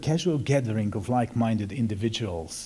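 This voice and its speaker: A man with a Hungarian accent speaks at a fairly quick pace in a somewhat breathy, dark, mellow voice of medium pitch, on a very clean recording with a silent background. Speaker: Benedictine monk. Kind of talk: formal speech. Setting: symposium audience.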